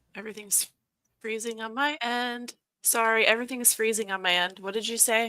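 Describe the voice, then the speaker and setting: Here a woman speaks at a fairly high pitch. Her intonation stays fairly even. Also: very clean recording, silent background. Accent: American. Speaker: co-host. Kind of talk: casual chat.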